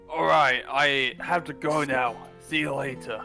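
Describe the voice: A gravelly, put-on character voice at a fairly slow pace, with clear music in the background. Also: man, medium pitch for a man.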